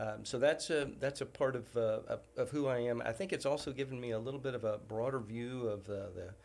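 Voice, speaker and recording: A man with a slight Southern US accent, fairly quick and with hardly any pauses. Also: medium pitch for a man, ordinary pitch variation. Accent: slightly Southern. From US, military bases. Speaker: university president. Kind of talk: casual chat. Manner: halting.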